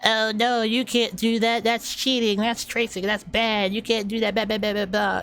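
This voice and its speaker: A put-on character voice, fairly high and strained, delivers lines at a moderate pace in monotone, flat intonation. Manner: mocking, strained.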